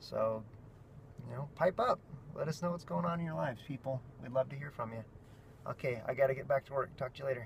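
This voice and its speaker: Speaking very fast yet with long, frequent pauses, a man uses a somewhat breathy, medium-pitched voice with lively intonation. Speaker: family vlogger. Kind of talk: vlog monologue. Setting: in a car. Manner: animated.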